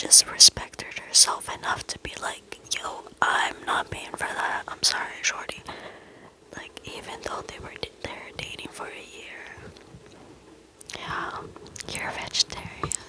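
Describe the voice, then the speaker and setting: In a whisper, over noticeable background noise, the words come at a fairly slow pace, broken by long, frequent pauses. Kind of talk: whispered reading of reddit posts with commentary, ASMR style. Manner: whispered.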